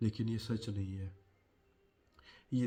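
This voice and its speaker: A man talks with a fairly low pitch. His voice is somewhat breathy. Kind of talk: personal story and advice talk to camera.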